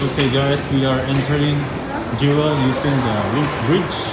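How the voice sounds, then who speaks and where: Loud background noise surrounds a man's voice. He speaks at a moderate pace. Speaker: traveler vlogger. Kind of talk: casual vlog chat. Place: station. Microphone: phone near.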